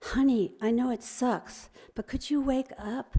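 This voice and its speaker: A female-sounding put-on character voice, breathy and high-pitched, moves at a fairly slow pace. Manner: gentle, coaxing.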